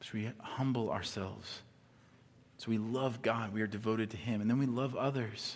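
This man has an unremarkable speaking voice. He talks at a fairly quick pace with fairly even intonation. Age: 40s. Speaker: pastor. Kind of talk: sermon. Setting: church with live audience. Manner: conversational, frequent fillers and repetitions.

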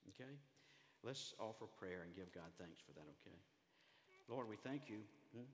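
Speaking in a Southern US accent with a fairly low pitch, a man uses lively intonation at a moderate pace, broken by long, frequent pauses. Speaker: pastor. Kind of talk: sermon. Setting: church.

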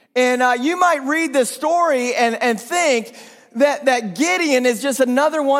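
A man talks in an animated tone at an extremely high pitch, with ordinary pitch variation and a fairly slow pace. Audible room echo and noticeable background noise are present. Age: 40s. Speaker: pastor. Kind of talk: sermon. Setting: church.

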